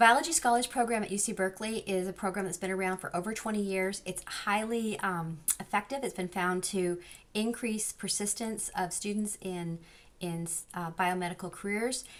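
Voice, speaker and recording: A woman speaks with an American accent. Her pitch sits in the middle range and varies in an ordinary way. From Southern California. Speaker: social psychology professor. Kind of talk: lecture. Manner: fast.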